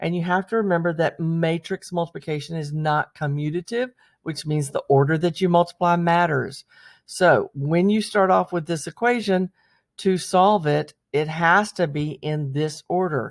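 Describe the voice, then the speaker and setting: The recording is very clean, with a silent background. The speaker keeps a moderate pace. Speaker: math teacher. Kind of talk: lecture.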